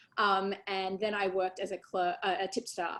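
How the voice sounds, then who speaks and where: A woman speaks at medium pitch. She has an Australian accent. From Australia, Sydney. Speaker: election lawyer. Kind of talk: interview. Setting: video call webinar. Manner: many fillers and hesitations.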